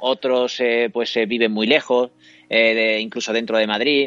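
In a normal speaking voice, a man talks at a moderate pace with a medium pitch. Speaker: singer-songwriter and radio scriptwriter. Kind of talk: casual interview. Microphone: laptop camera setup, good sound.

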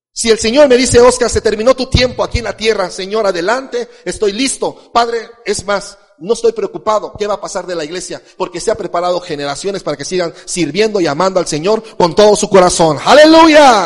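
Over noticeable background noise, a man talks fairly quickly with hardly any pauses, using a high pitch and lively intonation. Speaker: pastor. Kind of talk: sermon.

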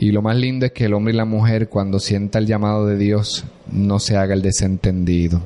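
The speech comes at a fairly quick pace in a dark, mellow tone, its loudness very even throughout. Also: man, fairly low pitch for a man. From Puerto Rico, Corozal. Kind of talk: casual interview. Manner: animated, laughing often.

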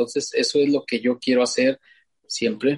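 A man speaks fairly slowly at a fairly high pitch, somewhat breathy. His pitch swings very widely, and the sound is dry and close with no echo. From Mexico, Zacatecas (Fresnillo). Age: 50s. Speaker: ultramarathon trail runner. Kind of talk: interview conversation. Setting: remote call.

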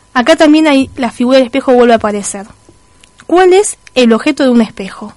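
Over noticeable background noise, a woman speaks at a fairly quick pace. Her pitch is high and her intonation lively. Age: 30s. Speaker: radio host. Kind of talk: radio talk show monologue.

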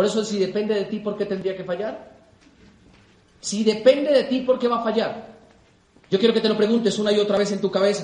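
An animated voice speaks at a fairly quick pace over noticeable background noise. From Colombia. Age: 20s. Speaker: business motivational speaker. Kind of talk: motivational talk.

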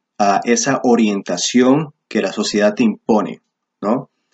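Speaking at a very slow pace, a man uses a medium pitch and ordinary pitch variation. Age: 20s. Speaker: YouTuber discussing men's philosophy. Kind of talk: monologue commentary video. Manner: animated.

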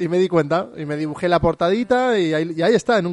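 A man speaks at a very fast pace in a fairly high pitch. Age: 30s. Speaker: podcast host. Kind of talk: casual chat.

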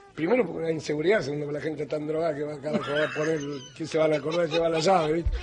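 Fairly high-pitched man's voice at a very fast pace, with fairly even intonation over noticeable background noise. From Argentina, Morón (Buenos Aires). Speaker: radio host. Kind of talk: late-night comedy radio chat.

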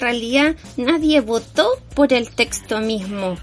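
There is noticeable background noise behind a woman's voice. Her pitch varies in an ordinary way. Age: 40s. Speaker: podcast co-host, photographer. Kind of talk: casual chat.

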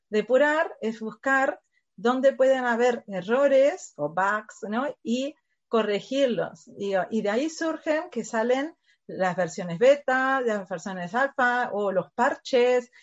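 A woman with a Uruguayan accent speaks at a very slow pace in a high pitch. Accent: noticeable Uruguayan. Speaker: education company staff member. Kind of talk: interview.

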